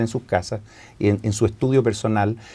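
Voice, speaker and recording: A man speaks very fast in a Chilean accent. His tone is dark and mellow. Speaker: guest on religious scripture program. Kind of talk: casual religious discussion.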